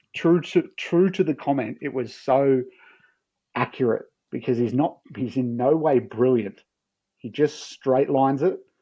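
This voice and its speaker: A man with an Australian accent talks at a fairly slow pace against a quiet background. His pitch is medium, with a dark, mellow tone and ordinary pitch variation. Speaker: football analyst. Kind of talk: casual chat. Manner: animated.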